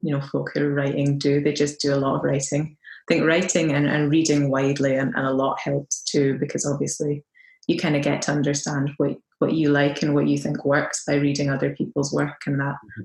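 A woman speaks at a fairly quick pace in a very deep, low pitch. Her delivery is monotone and flat, with vocal fry. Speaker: poet. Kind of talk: casual interview chat. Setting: video call.

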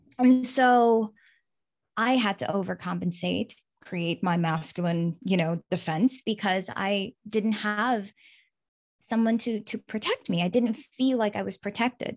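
Medium pitch, a fairly slow pace and ordinary pitch variation from a woman. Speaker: hypnotherapist and relationship coach. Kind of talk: casual interview chat. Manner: energetic.

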